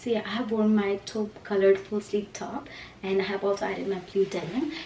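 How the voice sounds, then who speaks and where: A woman speaks with fairly even intonation. Background noise is noticeable. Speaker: lifestyle vlogger. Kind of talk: casual vlog. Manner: fast.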